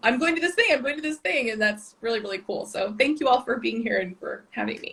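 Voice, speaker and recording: A woman talks at a very fast pace. Her high voice has lively intonation. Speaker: historical romance author. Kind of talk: interview on a live stream. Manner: fast talker.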